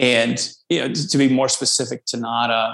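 With an American accent, this man talks at a moderate pace in an ordinary speaking voice of medium pitch. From US South, North Louisiana. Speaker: startup CEO. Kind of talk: interview.

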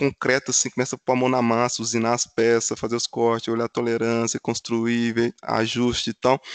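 In a Minas Gerais accent, a man with a medium pitch talks at a fairly quick pace, the sound dry and close with no echo over a quiet background. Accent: mineiro Brazilian Portuguese. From Minas Gerais, Brazil (Funilândia). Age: 30s. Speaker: automotive engineer. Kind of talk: casual interview chat.

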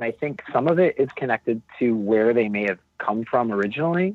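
At a moderate pace, a man speaks with a normal speaking voice. His pitch is medium, with ordinary variation. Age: 30s. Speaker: musician in a power pop band. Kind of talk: casual panel discussion.

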